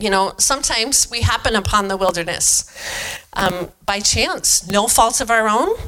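A woman with an American accent, fairly high pitch, ordinary pitch variation and a moderate pace, with noticeable background noise. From eastern Washington, US. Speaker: pastor's wife giving a sermon. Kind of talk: sermon. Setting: church.

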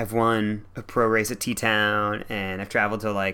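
Bright, sharp tone with fairly even intonation. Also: man.

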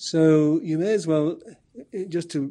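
A man with an Irish accent, a fairly high pitch and a dark, mellow tone, against a quiet background. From Ireland. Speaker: professor of philosophy. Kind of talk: interview.

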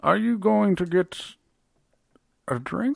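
Middle-pitched, with a put-on character voice. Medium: actual play. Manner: terse, flat; unsettling.

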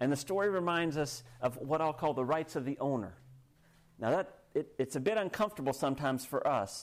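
A man with a plain, everyday voice and an American accent speaks fairly quickly at a fairly high pitch, with lively intonation and very even loudness. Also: very clean recording, silent background. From United States. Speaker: pastor. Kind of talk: sermon.

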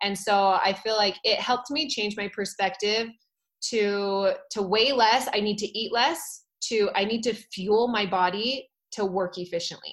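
A woman with an American accent has a plain, everyday voice. Her pitch is fairly high and her intonation fairly even. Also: fairly slow pace. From Utah. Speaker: fitness instructor. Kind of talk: casual chat.

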